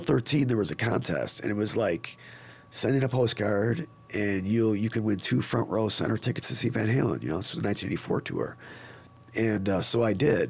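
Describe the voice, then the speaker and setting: With lively intonation, a man with a fairly low pitch talks at a moderate pace. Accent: Western New York. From upstate New York (Niagara Falls). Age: 50s. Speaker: drummer. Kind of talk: casual chat. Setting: studio.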